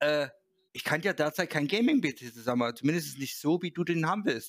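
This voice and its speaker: With a plain, everyday voice, a man of fairly high pitch talks at a fairly quick pace with ordinary pitch variation in a very clean recording with a silent background. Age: 30s. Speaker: gaming website host. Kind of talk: casual chat.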